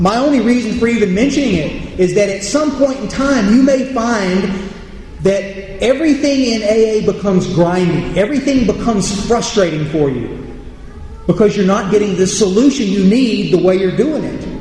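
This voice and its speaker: A high-pitched man talks at a moderate pace. The room echoes audibly, and background noise is noticeable. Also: ordinary pitch variation. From United States. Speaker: AA speaker. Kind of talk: recovery talk to audience. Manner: halting, repeats words.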